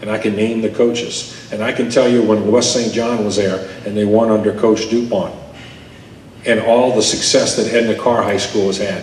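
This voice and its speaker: A man's medium-pitched, monotone, flat delivery at a moderate pace, with noticeable background noise and audible room echo. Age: 60s. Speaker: sports journalist. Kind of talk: speech with Q&A at a club luncheon. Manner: emphatic.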